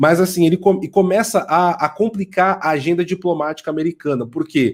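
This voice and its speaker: Recorded very cleanly over a silent background, a man talks at a fairly quick pace in a high pitch with ordinary pitch variation. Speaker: author and political commentator. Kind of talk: interview.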